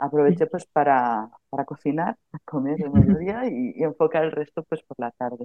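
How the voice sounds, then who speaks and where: With a very deep, low pitch, a woman speaks at a moderate pace using lively intonation. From Galicia, Spain (Melide). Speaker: social educator and pedagogy student. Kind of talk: casual chat. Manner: halting.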